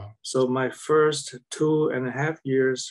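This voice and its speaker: Against a quiet background, a man with a Vietnamese accent speaks at a very slow pace with fairly even intonation. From South Vietnam, Saigon. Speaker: war veteran. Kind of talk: interview. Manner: halting. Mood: calm, reflective. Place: home room. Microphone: video call.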